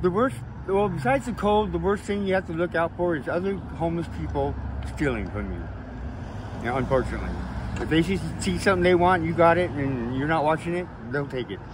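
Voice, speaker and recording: A man with an American accent talks at a very fast pace with long, frequent pauses, against noticeable background noise. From Oregon. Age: 60s. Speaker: homeless man, former apple packer. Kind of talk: street interview. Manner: hesitant, many fillers.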